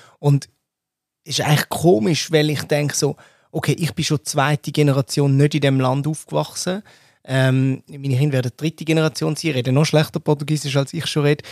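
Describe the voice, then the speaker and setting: Here is an unremarkable speaking voice from a man at a fairly high pitch and a fairly quick pace. His intonation is fairly even, and the recording is very clean with a silent background. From Switzerland. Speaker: podcast host. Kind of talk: casual discussion.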